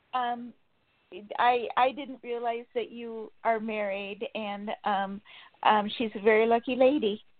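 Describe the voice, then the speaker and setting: In an ordinary speaking voice, a woman talks at a fairly slow pace with a fairly high pitch, fairly even intonation and big swings in loudness. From California, US. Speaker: caller. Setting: phone call.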